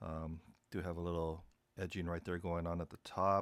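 A man talks in a very deep, low pitch with monotone, flat intonation at a moderate pace. The sound is dry with no echo, and the background is quiet. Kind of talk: casual vlog chat. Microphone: phone near.

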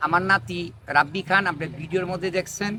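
A man speaks in a raised, projected voice pitched high. His tone is bright and sharp. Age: 80s+. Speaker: traditional healer. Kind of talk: direct-to-camera public appeal. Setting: outdoors under a neem tree.

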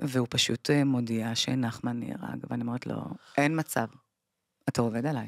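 Against a quiet background, a woman with a very deep, low pitch speaks at a moderate pace with fairly even intonation and long, frequent pauses, the sound dry with no echo. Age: 40s. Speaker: bereaved mother; podcast guest. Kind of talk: testimony. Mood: grave, emotional storytelling. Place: studio. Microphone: studio mic.

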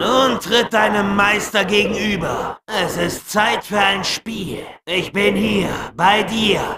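A man puts on a raspy, high-pitched character voice. He drags it out at a very slow pace. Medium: dub. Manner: commanding, menacing.

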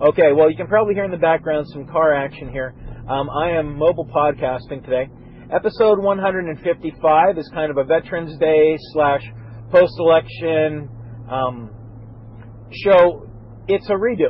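At a moderate pace with long, frequent pauses, a man speaks with ordinary pitch variation in a dry sound with no echo. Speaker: podcast host. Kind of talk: casual podcast monologue. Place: car.

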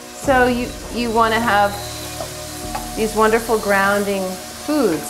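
Over clear background music, a woman talks at a fairly slow pace with ordinary pitch variation. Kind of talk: tutorial. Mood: calm, gentle. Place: kitchen. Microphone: camera far.

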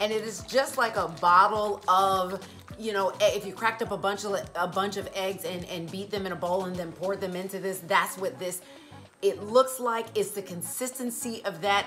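Over faint background music, a woman talks at a moderate pace with fairly even intonation. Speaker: vegan lifestyle vlogger. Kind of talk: casual vlog chat. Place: home room.

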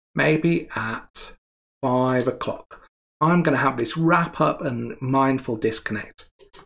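Normal pitch movement in a male voice. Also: quiet background. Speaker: presenter. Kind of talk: tutorial. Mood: relaxed, friendly. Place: home room.

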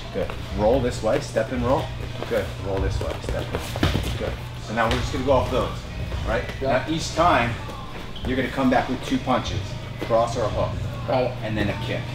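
A man talks at a moderate pace, stopping often for long pauses. Clear music plays in the background. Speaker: fight coach. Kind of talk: coaching instructions. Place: gym.

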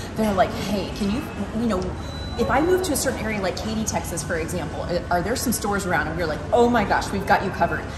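Very fast speech over clear background music. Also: woman. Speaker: local guide host. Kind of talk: casual vlog chat. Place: shop. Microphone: camera far.

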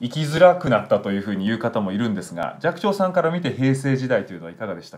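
A man's very fast delivery with hardly any pauses, big swings in loudness and very wide pitch swings. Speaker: TV news anchor. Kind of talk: interview question. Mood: polite, respectful, attentive. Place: home room.

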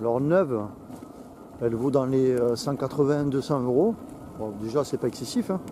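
Speaking at a very slow pace with long, frequent pauses, a man is heard over noticeable background noise, the sound dry with no echo. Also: ordinary pitch variation. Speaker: vlogger testing a camera while riding an electric unicycle. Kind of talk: casual vlog commentary. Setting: outdoors riding on trails. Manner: halting, many hesitations. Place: open country.

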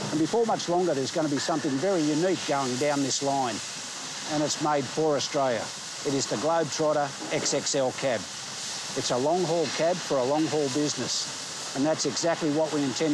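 A man talks at a fairly quick pace with ordinary pitch variation. The sound is dry with no echo, and background noise is noticeable. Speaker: truck journalist presenter. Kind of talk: presenter piece to camera. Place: factory.

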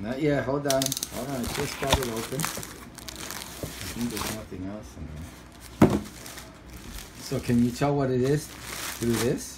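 Very slow pace amid loud background noise. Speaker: parent making a product review video. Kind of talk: casual home product demo, chatty and coaxing. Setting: at home with kids. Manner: animated, repetitive, coaxing a child. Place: home room. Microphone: phone near.

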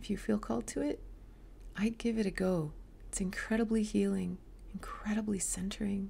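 A woman talks at a moderate speed, with light background noise behind her. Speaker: yoga teacher. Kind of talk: casual vlog chat. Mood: calm, reflective. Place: home room. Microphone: webcam.

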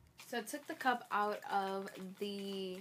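Medium-pitched female voice against noticeable background noise. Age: 20s. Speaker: vlogger. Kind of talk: casual vlog. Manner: chatty, rambling speech with fillers.

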